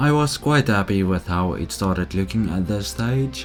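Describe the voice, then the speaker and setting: Music plays in the background as a man speaks at a fairly slow pace, his fairly low pitch moving in very wide swings. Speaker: model railroad hobbyist. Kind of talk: casual voice-over narration.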